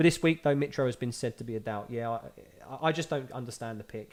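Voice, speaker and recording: This man speaks in a Cockney accent at a very fast pace. His intonation is lively. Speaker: fantasy football YouTuber. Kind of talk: live stream Q&A. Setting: live video stream. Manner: casual, conversational.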